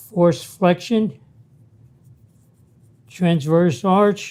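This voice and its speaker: Man at a very slow pace, high in pitch, with a dark, mellow tone and ordinary pitch variation. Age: 80s+. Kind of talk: exercise instruction talk.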